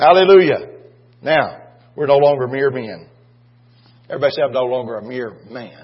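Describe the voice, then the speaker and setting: A somewhat breathy man talks at a moderate pace with ordinary pitch variation, big swings in loudness and long, frequent pauses. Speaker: preacher. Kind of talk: sermon. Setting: church. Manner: animated, exhorting the congregation with call-and-response.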